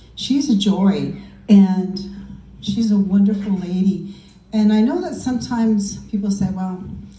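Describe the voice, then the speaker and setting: Audible room echo surrounds a woman speaking at a fairly slow pace with ordinary pitch variation. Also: medium pitch for a woman. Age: 60s. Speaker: party guest giving a tribute. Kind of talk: birthday tribute speech.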